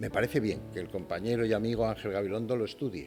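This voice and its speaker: Over music in the background, a man with a medium pitch speaks in an animated tone at a very fast pace. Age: 60s. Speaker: psychologist. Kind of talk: lecture. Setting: stage with audience.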